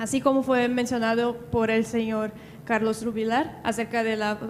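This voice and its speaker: Speaking slowly and in a flat monotone, a woman with a Brazilian accent holds a fairly high pitch. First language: Portuguese (speaking Spanish). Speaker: audience member asking question. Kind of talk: audience question.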